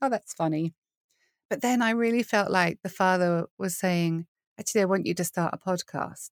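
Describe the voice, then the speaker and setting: A woman with a British accent speaks at a moderate pace and medium pitch with ordinary pitch variation, the sound dry and close with no echo in a very clean recording with a silent background. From UK. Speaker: worship leader and podcaster. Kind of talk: casual interview conversation.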